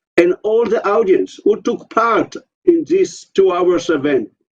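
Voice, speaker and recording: A man speaks at a high pitch and a very slow pace. His pitch swings very widely. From Israel. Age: 60s. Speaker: kibbutz member. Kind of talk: online interview.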